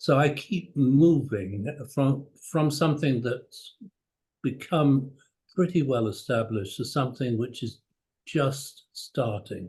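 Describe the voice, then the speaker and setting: Somewhat breathy and fairly high in pitch, a man speaks very slowly with long, frequent pauses and ordinary pitch variation. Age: 70s. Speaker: cardiology professor. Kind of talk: interview. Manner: formal.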